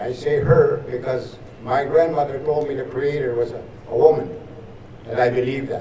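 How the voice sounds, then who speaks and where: A man speaks at a moderate pace with ordinary pitch variation. Noticeable background noise and audible room echo surround him. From northern Saskatchewan, Canada. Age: 80s+. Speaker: residential school survivor and veteran. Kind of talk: ceremonial speech. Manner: halting, repetitive.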